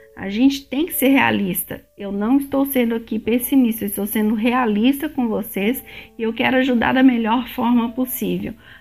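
With music in the background, a woman speaks at a moderate pace, her pitch fairly high and intonation fairly even. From Brazil, Belo Horizonte (Minas Gerais). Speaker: immigration vlogger. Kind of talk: casual vlog monologue.

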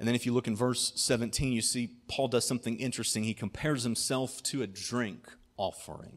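A man speaks at a fairly quick pace. His medium-pitched voice has fairly even intonation. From US Midwest, southwest Ohio. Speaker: pastor. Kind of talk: sermon.

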